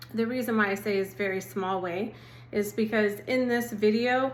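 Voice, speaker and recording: With an Oklahoma accent, a woman speaks at medium pitch, and audible room echo surrounds her voice. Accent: Oklahoma, noticeable. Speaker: assistant pastor. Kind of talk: devotional talk. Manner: gentle, conversational.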